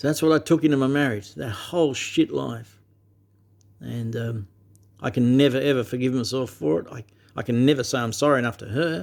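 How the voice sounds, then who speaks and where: Talking at a fairly quick pace with a medium pitch, a man with an Australian accent shows ordinary pitch variation and big swings in loudness. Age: 60s. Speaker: vlogger. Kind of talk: personal monologue to camera. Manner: emphatic, heavy swearing; halting with repetitions.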